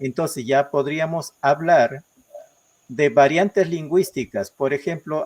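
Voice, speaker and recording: A man talks very slowly, the sound dry and close with no echo at all. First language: Ashéninka (speaking Spanish). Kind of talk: interview. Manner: halting, many fillers.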